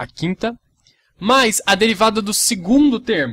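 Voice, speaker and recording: The speaker is a man. His tone comes across bright and sharp. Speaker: math teacher. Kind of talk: tutorial.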